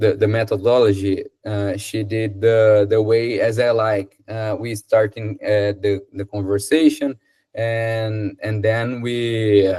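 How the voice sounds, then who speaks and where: In a very clean recording with a silent background, a man with a Brazilian Portuguese accent speaks very slowly in a fairly low, dark, mellow, somewhat breathy voice, monotone and flat, with hardly any pauses. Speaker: English student. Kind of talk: casual chat. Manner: halting.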